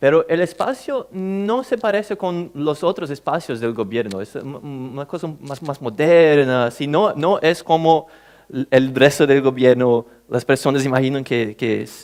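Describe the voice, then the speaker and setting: A man speaks with a Portuguese accent at a fairly slow pace. His fairly high pitch moves with lively intonation. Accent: Portuguese-accented Spanish (portuñol). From Brazil. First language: Portuguese (speaking Spanish). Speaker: government official, conference speaker. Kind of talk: conference talk. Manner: halting, with many fillers.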